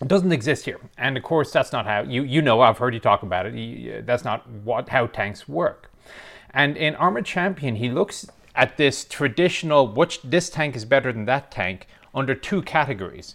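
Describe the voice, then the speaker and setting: A man speaks at a moderate pace. His voice has vocal fry. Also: medium pitch for a man. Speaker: military historian and tank expert. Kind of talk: casual interview. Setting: remote call from Texas. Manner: self-deprecating, laughs often.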